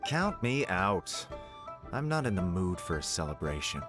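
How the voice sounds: Over faint music in the background, a man does a put-on character voice with a low pitch and a fairly bright tone. He talks at a fairly slow pace, his pitch making big swings.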